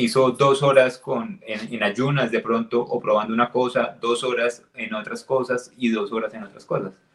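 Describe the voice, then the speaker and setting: A man's unremarkable speaking voice at a medium pitch, moderate pace and fairly even intonation, with big swings in loudness and hardly any pauses. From Colombia, Neiva. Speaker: podcast co-host. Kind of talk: casual chat.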